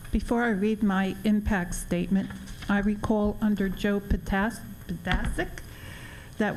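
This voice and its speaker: With music in the background, a woman talks at a medium pitch. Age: 70s. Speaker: public commenter at school board meeting. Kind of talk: public comment statement. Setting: school board meeting.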